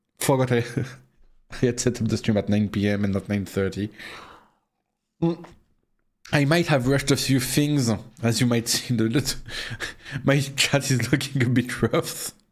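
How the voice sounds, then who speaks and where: Speaking with a French accent at a moderate pace, the voice keeps a very even loudness and ordinary pitch variation, broken by long, frequent pauses. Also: man, medium pitch for a man, very clean recording, silent background. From France. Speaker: vtuber streamer. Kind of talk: casual live stream chat. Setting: live stream at home PC. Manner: halting, many stammered repeats; animated.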